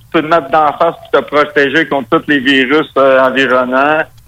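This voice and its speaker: The speaker has a strong Quebec accent and a bright, sharp tone. The pace is fairly slow. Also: man. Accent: very strong Quebec French. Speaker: metal musician. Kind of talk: interview.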